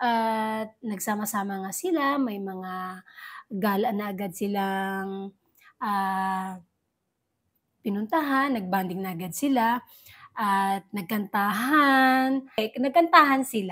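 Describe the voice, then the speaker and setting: A woman speaks at a very slow pace with a medium pitch and ordinary pitch variation. The recording is very clean, the background silent. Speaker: entertainment news vlogger. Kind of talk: casual vlog commentary.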